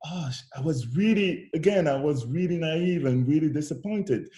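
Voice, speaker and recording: Somewhat breathy, a man talks with lively intonation in a dark, mellow tone. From DR Congo. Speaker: musician and poet. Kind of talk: interview conversation.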